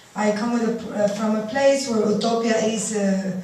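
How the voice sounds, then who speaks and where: A woman with a fairly high voice speaks at a fairly slow pace amid noticeable background noise and audible room echo. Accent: Cuban. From Cuba. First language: Spanish. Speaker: artist. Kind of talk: lecture. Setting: stage with audience. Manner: halting.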